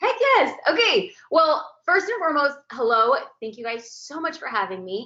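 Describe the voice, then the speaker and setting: A woman's high-pitched, animated voice with an American accent, very wide pitch swings and big swings in loudness. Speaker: photographer and business coach. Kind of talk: webinar presentation. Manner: fast.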